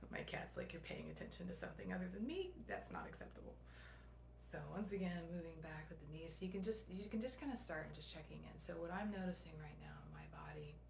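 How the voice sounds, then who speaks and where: A woman speaks at a very fast pace. There is audible room echo. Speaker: somatic movement instructor. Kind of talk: guided movement session. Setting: at home late at night, video recording. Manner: soft-spoken; hesitant, many fillers.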